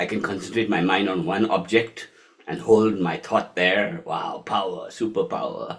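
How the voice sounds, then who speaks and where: Speaking at a fairly slow pace, a man with a fairly low pitch uses lively intonation. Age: 60s. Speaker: yoga and meditation teacher. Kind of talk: lecture. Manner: animated.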